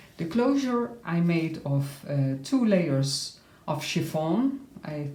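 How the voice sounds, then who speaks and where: The speech moves at a very slow pace. Audible room echo and noticeable background noise surround it. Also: woman. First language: not English. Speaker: crafter showing her handmade journal. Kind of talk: tutorial-style flip through. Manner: halting, frequent uh fillers.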